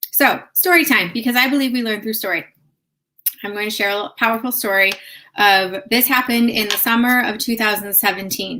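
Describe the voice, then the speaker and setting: Her tone is bright and sharp, with a slight Chicago accent. The woman speaks at a moderate pace with ordinary pitch variation. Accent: slight Chicago accent on certain words. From US Midwest, north suburbs of Chicago. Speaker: yoga therapist. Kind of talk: live stream talk with personal story. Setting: live video stream. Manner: casual, conversational.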